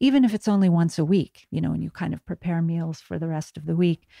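A woman with an American accent, a dark, mellow tone and ordinary pitch variation, in a dry, close sound with no echo and a very clean recording with a silent background. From United States. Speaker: author. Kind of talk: interview. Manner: halting, many fillers.

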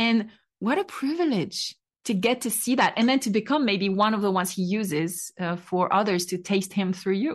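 A woman with a French accent speaks at a moderate pace, her medium-pitched voice somewhat breathy and her pitch varying in an ordinary way. The background is quiet. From France. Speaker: podcast host sharing her testimony. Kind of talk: testimony.

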